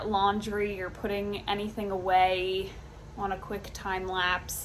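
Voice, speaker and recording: At a fairly slow pace, a woman of medium pitch speaks with audible room echo. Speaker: lifestyle vlogger. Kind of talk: casual vlog narration. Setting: at home.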